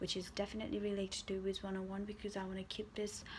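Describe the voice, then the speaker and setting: With a Nepali accent, a woman at medium pitch talks at a very fast pace, her voice somewhat breathy. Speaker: gaming YouTuber. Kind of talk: casual storytime vlog.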